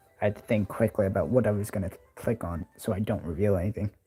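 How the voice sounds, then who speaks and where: Music plays in the background. A man speaks with a fairly low pitch. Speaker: livestreamer and thumbnail designer. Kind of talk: casual live stream talk. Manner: halting.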